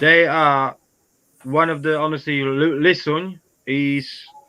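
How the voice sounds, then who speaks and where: A man with a non-native accent speaks in a bright, sharp tone. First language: not English. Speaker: beekeeper. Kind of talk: casual chat. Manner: halting.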